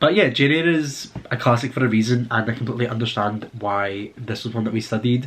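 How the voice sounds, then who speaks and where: A man with a Scottish accent at a medium pitch, fairly quick and with hardly any pauses, showing ordinary pitch variation. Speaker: book vlogger, university student. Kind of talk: casual chat. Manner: casual, with filler words.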